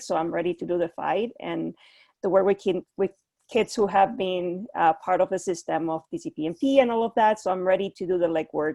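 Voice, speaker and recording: In a Spanish accent, a woman speaks with a dark, mellow tone against a quiet background, the sound dry and close with no echo. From Puerto Rico. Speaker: clinical psychologist. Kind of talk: panel discussion. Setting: video call. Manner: halting.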